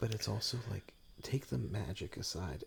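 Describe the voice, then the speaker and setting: Soft-spoken, a man talks at a fairly slow pace. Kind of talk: soft-spoken ASMR podcast chat.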